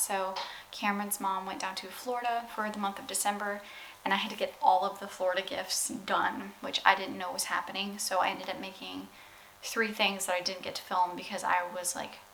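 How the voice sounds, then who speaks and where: Amid noticeable background noise and audible room echo, a woman of medium pitch talks at a fairly quick pace with big swings in loudness. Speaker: vlogger. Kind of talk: casual vlog talk.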